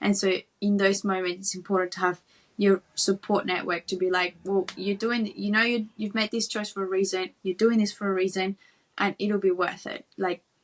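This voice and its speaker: A woman's medium-pitched voice with a Spanish accent, flat and monotone, in a dry, close recording with no echo. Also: moderate pace. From Peru (Lima), moved to Sydney at 11. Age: 30s. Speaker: Olympic volleyball player. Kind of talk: interview conversation.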